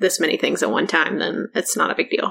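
A woman speaks with a bright, sharp tone. Vocal fry runs through her voice. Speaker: podcast host. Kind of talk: casual chat. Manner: soft-spoken.

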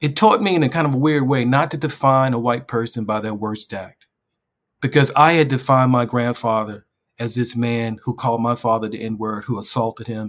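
A man with a plain, everyday voice speaks in an American accent at a medium pitch and a moderate pace. His intonation stays fairly even on a very clean recording with a silent background. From West Baltimore, US. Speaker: journalist and memoir author. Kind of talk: interview.

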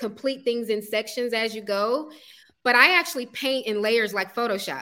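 Here is a woman with an American accent and a high-pitched, bright, sharp tone. She talks at a moderate pace with ordinary pitch variation. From US South, Atlanta, Georgia. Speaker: artist and startup founder. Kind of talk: interview.

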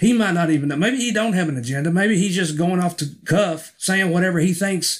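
On a very clean recording with a silent background, a man with an American accent speaks at a high pitch and a fairly quick pace. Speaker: pastor. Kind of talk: spoken commentary.

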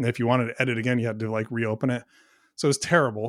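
Very fast speech comes from a man with a medium pitch and monotone, flat intonation. The recording is very clean and the background silent. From US Pacific Northwest. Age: 40s. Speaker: software company co-founder. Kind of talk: casual interview conversation.

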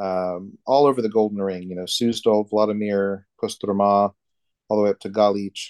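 With a Texan accent, a man talks at a fairly slow pace and fairly low pitch with fairly even intonation, in a dry, close sound with no echo against a quiet background. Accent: Texan American English. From Texas. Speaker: Orthodox priest. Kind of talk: casual interview.

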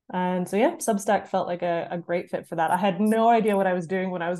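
Against a quiet background, a woman with a Canadian accent talks in a dark, mellow tone with fairly even intonation. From Canada. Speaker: writer and author. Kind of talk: casual interview chat.

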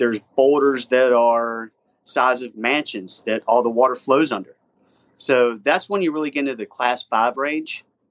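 A man's medium pitch with ordinary pitch variation, moderate in pace, an ordinary speaking voice. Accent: American. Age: 40s. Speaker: whitewater paddler and instructor. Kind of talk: casual interview.

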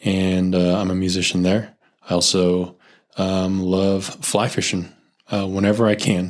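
Very deep and low in pitch, a man with a Californian accent is heard on a very clean recording with a silent background. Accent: Californian American. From US West Coast, Silicon Valley. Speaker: spacecraft thermal engineer and youth group leader. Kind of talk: casual chat.

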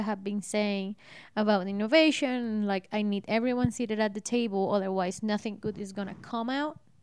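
With a Spanish accent, a woman talks at a fairly quick pace in a fairly high pitch with ordinary pitch variation. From Colombia. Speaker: host's wife. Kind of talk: casual chat.

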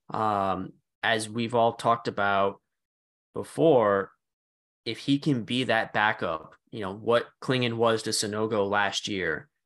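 A man with fairly low pitch speaks in a plain, everyday voice with ordinary pitch variation. The background is quiet. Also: fairly slow pace. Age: 30s. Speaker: sports podcast co-host. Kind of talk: casual chat.

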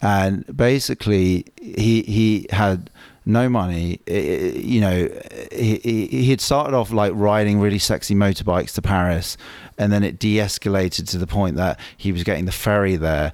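An unremarkable speaking voice from a man with a fairly low pitch and ordinary pitch variation. He talks at a moderate pace. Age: 40s. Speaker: artist. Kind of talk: casual chat.

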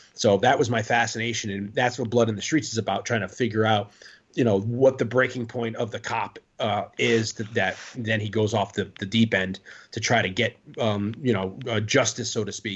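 With an American accent, the speaker sounds somewhat breathy, keeping fairly even intonation at a moderate pace. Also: man, medium pitch for a man. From Connecticut, New Haven. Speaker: author and actor. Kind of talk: casual chat.

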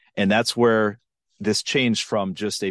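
An American-accented man speaks with an ordinary speaking voice, fairly low in pitch and fairly even in intonation, against a quiet background. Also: dry, close sound with no echo. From western Minnesota. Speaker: TV investigative reporter and author. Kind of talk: interview, storytelling a case.

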